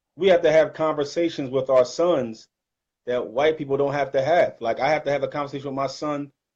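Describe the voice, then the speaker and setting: A man with a Detroit accent speaks at a fairly quick pace over a quiet background. His intonation is fairly even. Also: fairly high pitch for a man. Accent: northern US, Detroit. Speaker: Islamic channel host. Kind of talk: casual chat.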